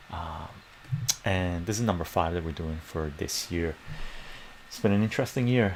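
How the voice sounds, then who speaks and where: A soft-spoken man talks at a moderate pace. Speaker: math tutor. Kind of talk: live-stream math tutoring lesson. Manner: soft-spoken, explanatory.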